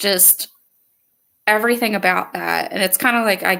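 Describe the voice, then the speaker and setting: A woman with a Philadelphia accent speaks in a bright, sharp tone. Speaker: podcast host. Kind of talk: casual chat.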